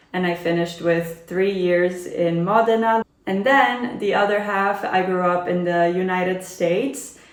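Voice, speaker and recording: Amid noticeable background noise, a woman talks at medium pitch and a fairly slow pace with fairly even intonation and hardly any pauses. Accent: American. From Italy (Turin) and US (Maine, Boston). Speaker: travel vlogger. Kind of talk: get-to-know-me Q&A vlog.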